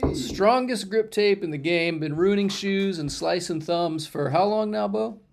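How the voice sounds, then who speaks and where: Lively intonation from a man with a high voice, hardly any pauses, and noticeable background noise. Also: fairly slow pace. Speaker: podcast host. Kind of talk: casual chat.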